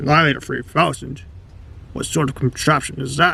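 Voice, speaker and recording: A man puts on a raspy character voice at a fairly high pitch. He moves at a fairly quick pace. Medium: short film. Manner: formal, old-fashioned phrasing.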